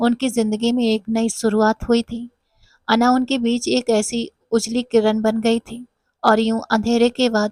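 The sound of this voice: The clip has an unforced reading voice against a quiet background.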